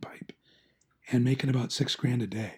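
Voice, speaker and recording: An animated, somewhat breathy man's voice at a medium pitch and moderate pace. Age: 60s. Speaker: painter. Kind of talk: casual chat. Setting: podcast. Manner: animated storytelling.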